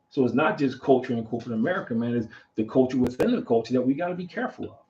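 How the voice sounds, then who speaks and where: Somewhat breathy and dark, mellow in tone, the voice moves at a very fast pace with ordinary pitch variation. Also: man, medium pitch for a man. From Philadelphia, US. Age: 60s. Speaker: podcast host. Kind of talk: casual talk show discussion. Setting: studio livestream. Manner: animated.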